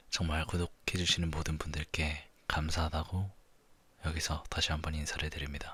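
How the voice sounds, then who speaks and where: A man speaks at a moderate pace in a very deep, low voice with monotone, flat intonation. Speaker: ASMR creator. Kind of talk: ASMR talk. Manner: soft-spoken.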